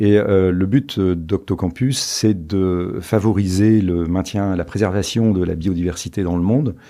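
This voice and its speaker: A man speaks at a very deep, low pitch in a dark, mellow tone, with ordinary pitch variation. The background is quiet. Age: 60s. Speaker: entrepreneur and investor. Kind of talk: podcast interview. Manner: hesitant, many fillers.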